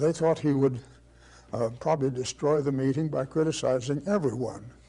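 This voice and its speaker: Somewhat breathy and dark, mellow in tone, a man's fairly high voice moves at a moderate pace. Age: 80s+. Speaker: architect and teacher. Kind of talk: lecture. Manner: storytelling, hesitant.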